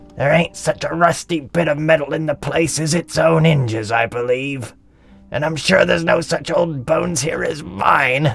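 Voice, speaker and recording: A man puts on a raspy character voice at a fairly high pitch. He speaks at a moderate pace with ordinary pitch variation. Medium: audio drama. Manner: wheezy chuckling cockney banter.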